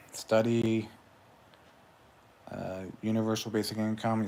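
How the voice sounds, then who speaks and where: Mumbling at a fairly slow pace, a man speaks in a fairly low pitch. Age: 40s. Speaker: YouTuber, livestreamer. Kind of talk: casual livestream monologue. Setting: solo livestream. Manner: mumbling with long pauses.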